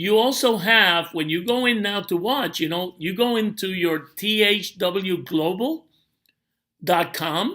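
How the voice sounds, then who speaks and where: A raised, projected voice with a bright, sharp tone at a fairly slow pace, on a very clean recording with a silent background. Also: man, high pitch for a man, ordinary pitch variation. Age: 60s. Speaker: network marketing promoter. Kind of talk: tutorial. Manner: casual, with many fillers.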